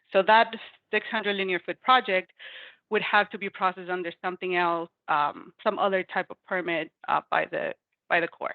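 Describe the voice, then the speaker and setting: A woman's voice sits at a medium pitch and rises and falls in an ordinary way. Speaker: federal permit regulator. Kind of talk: webinar presentation. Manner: fast; halting, many fillers.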